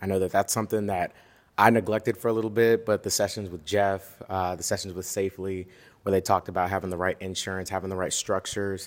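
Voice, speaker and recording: Very fast speech from a man at a fairly low pitch. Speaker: short-term rental investor. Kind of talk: casual chat.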